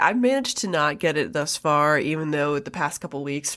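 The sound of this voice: In a very clean recording with a silent background, a woman speaks at a moderate pace and low pitch, her tone clear and smooth yet bright and sharp.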